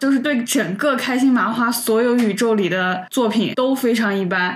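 A woman with a northwestern Chinese accent at a moderate pace, ordinary pitch movement, audible room echo and noticeable background noise. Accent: Northwest Chinese. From Northwest China. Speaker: podcast co-host. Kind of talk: casual chat.

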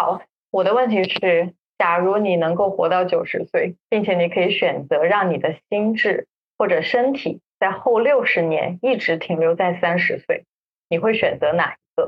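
At a fairly slow pace, a woman talks in an ordinary speaking voice with medium pitch and ordinary pitch variation. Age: 30s. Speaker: podcast co-host. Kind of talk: casual chat. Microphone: backup recording, poor sound quality.

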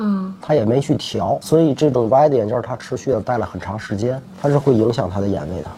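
A man's medium-pitched voice with very wide pitch swings, at a fairly quick pace with hardly any pauses, over noticeable background noise. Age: 40s. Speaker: optometrist. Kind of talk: interview.

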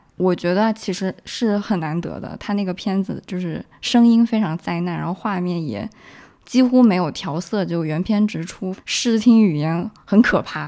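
With a dark, mellow tone, a woman speaks at medium pitch and a moderate pace, her pitch varying in an ordinary way. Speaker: film festival goer. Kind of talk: casual chat.

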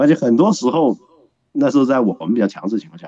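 A man talks with very wide pitch swings and a dark, mellow tone. The sound is dry and close, with no echo. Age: 30s. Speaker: guest commentator. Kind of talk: casual chat.

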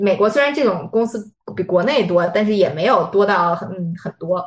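A woman speaks at a fairly quick pace with fairly even intonation and a medium pitch. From Beijing, China. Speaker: life coach. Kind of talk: interview conversation. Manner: hesitant, many fillers.

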